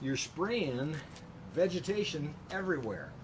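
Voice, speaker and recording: With lively intonation, the man talks at an average speed. There is some breathiness in his voice. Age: 60s. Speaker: chiropractor. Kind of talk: casual tutorial. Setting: outdoors at home. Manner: relaxed, hesitant with many fillers.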